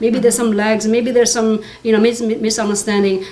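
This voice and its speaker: Female speech with audible room echo and noticeable background noise. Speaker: tech executive. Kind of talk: panel discussion. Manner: fast; halting.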